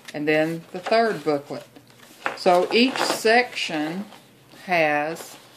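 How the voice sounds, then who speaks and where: Amid noticeable background noise, the speaker talks in a Texas accent with ordinary pitch variation. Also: woman. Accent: Texas drawl. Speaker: junk journal maker. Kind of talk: craft tutorial talk to camera.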